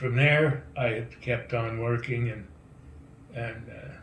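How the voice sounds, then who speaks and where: Very slow speech from a man, plus noticeable background noise and audible echo of the room. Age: 80s+. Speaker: donor. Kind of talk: recorded video message.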